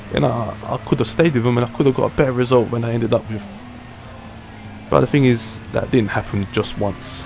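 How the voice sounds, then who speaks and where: Music plays in the background as a man speaks with a British accent. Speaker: sim racing gamer. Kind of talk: gameplay race commentary. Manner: casual.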